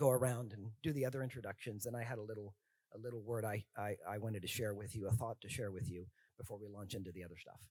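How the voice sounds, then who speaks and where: Speaking at a fairly quick pace, a man uses a somewhat breathy, fairly low voice with fairly even intonation, recorded dry and close with no echo. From Mexico, Mexico City. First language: Spanish. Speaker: professor. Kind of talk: panel discussion.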